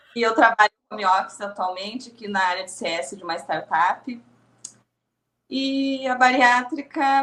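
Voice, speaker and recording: A woman speaks at a moderate pace with lively intonation and big swings in loudness. Her fairly high voice carries a bright, sharp tone. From southern Brazil (Rio Grande do Sul). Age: 30s. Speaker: podcast guest, content creator. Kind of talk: podcast interview.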